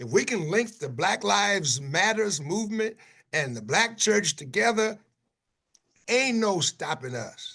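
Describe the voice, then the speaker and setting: A man with an American accent talks at a moderate pace, his pitch swinging very widely. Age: 70s. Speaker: pastor. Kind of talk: panel discussion. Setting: video call. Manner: animated.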